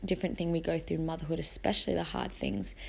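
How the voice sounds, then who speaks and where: The audio is very clean and the background silent. The speaker, a woman, has an Australian accent. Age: 20s. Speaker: podcast host and mother. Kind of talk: casual monologue.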